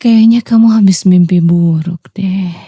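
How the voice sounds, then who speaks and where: A woman speaks at a medium pitch in a somewhat breathy voice with a soothing, gentle, dark, mellow tone and fairly even intonation. The sound is dry and close, with no echo. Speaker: ASMR roleplay performer, VTuber. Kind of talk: ASMR roleplay, intimate girlfriend/wife style. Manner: soft, soothing, whispered-gentle, comforting.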